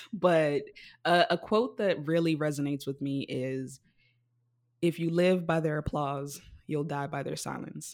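A woman with a very deep, low pitch speaks at a fairly slow pace with long, frequent pauses and ordinary pitch variation, on a very clean recording with a silent background. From Africa. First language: not English. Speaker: podcast host, drag king. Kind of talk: casual chat. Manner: animated.

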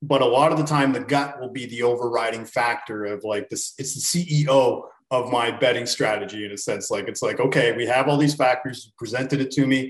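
A man with a Canadian accent has an ordinary speaking voice at medium pitch. He talks at a fairly quick pace with fairly even intonation and hardly any pauses. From Canada. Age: 30s. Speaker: sports betting handicapper. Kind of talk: casual chat.

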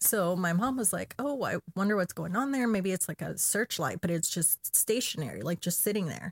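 A woman's somewhat breathy voice at medium pitch, lively in intonation, at a moderate pace with hardly any pauses, in a dry, close sound with no echo on a very clean recording with a silent background. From Chile. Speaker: podcast guest sharing paranormal experiences. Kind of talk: casual chat. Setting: studio. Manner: laughs often.

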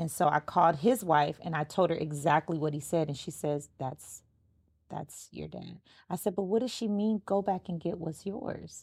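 A woman speaks at a moderate pace in a fairly low voice with ordinary pitch variation, an unremarkable speaking voice. The recording is very clean, with a silent background. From Los Angeles, US. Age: 30s. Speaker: podcast host. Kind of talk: casual interview chat.

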